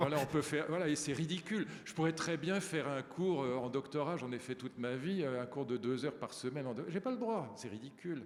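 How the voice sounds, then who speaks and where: Fairly high pitch from a man, with noticeable background noise. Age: 70s. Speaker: professor. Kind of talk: panel discussion. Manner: animated.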